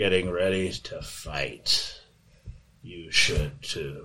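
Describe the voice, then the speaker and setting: A man puts on a raspy character voice with a very deep, low pitch. He speaks at a very slow pace. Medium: actual play. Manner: cold, flat, fatalistic.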